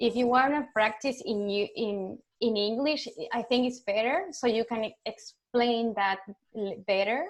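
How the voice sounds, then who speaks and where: A woman's high pitch in a Spanish accent, with ordinary pitch variation. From Argentina. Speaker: UX designer. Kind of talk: online community talk Q&A. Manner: halting.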